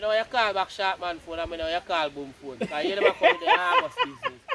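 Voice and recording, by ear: Speaking fast with big pitch swings, a man has a high pitch, a bright, sharp tone and vocal fry.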